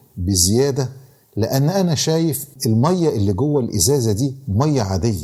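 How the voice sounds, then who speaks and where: A man with an Egyptian accent speaks at medium pitch in a dark, mellow, somewhat breathy tone, his pitch swinging very widely. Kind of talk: podcast moral talk and storytelling.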